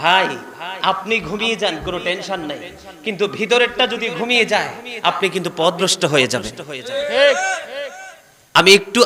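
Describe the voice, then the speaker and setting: Over noticeable background noise, a man speaks in a raised, projected voice at a high pitch. His tone is energetic, with ordinary pitch variation. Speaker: Islamic preacher. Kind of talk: waz religious sermon to a live audience. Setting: mahfil gathering with microphone. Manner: energetic, interactive with crowd.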